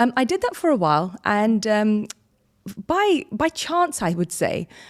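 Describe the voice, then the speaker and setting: On a very clean recording with a silent background, a woman with a British accent speaks at a fairly high pitch, her pitch swinging very widely. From London, England. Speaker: business consultant. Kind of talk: interview. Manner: hesitant, many fillers.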